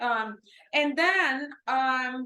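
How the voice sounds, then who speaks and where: The voice is raised and projected, with lively intonation. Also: woman. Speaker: robotics professor. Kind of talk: lecture. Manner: loud.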